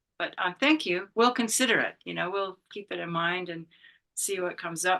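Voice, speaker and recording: Against a quiet background, a woman with a bright, sharp tone and vocal fry talks at a very fast pace with medium pitch and ordinary pitch variation. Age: 70s. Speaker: meditation teacher. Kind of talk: talk with Q&A. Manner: halting.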